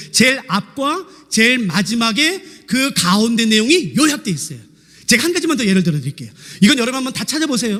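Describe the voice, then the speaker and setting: A man with an extremely high pitch talks at a very fast pace in a raised, projected voice, his pitch swinging very widely over noticeable background noise. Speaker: pastor; seminary lecturer. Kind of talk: sermon.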